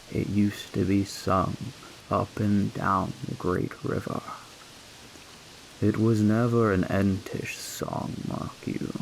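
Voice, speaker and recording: A man speaks very slowly and softly, his pitch fairly low. His intonation stays flat and monotone over noticeable background noise. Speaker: storyteller. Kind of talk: sleep story. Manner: soft-spoken.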